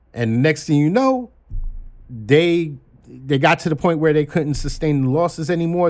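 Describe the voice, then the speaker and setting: Recorded very cleanly against a silent background, a man with an American accent speaks in an unremarkable speaking voice with ordinary pitch variation. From Brooklyn, New York (Flatbush). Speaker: executive recruiter and stock-trading enthusiast. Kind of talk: casual chat. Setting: studio.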